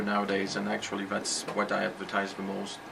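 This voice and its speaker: The speaker talks very fast with a slight French accent. Background noise is noticeable. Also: man. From France. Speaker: computer repair shop owner. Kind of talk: interview. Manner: hesitant with fillers.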